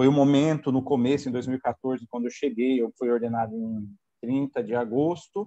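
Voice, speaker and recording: The man has a dark, mellow tone at medium pitch with ordinary pitch variation, speaking at a moderate pace in a dry, close sound with no echo. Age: 40s. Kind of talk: testimony. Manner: hesitant, with fillers.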